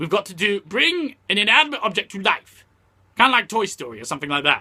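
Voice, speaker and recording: A man puts on a cartoonish character voice. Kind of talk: casual talk to camera. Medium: puppet. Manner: ranting, irritated.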